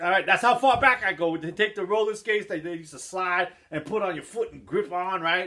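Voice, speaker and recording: A man with a New York accent speaks in a raised, projected voice at a fairly quick pace. His tone is animated, his pitch high, and his loudness swings widely. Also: ordinary pitch variation, hardly any pauses. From New York City, the Bronx. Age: 50s. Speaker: skateboard hobbyist vlogger. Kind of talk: casual vlog talk. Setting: at home.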